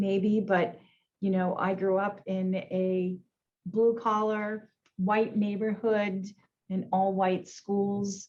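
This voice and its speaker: Speaking in an American accent, a woman has a medium pitch and a dark, mellow, somewhat breathy tone. Her intonation is monotone and flat, and her pace is very slow. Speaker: insurance executive. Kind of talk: panel discussion. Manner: halting, many fillers.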